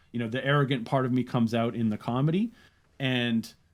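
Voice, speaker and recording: A man with an unremarkable speaking voice at a medium pitch, fairly quick in pace, with fairly even intonation. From Canada. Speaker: comedian and content creator. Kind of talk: interview conversation.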